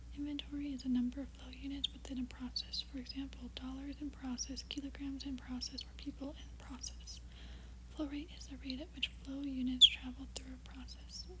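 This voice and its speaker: Whispering and soft-spoken at a fairly quick pace, a woman swings widely in loudness over noticeable background noise. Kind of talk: ASMR reading. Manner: soft-spoken, whispered.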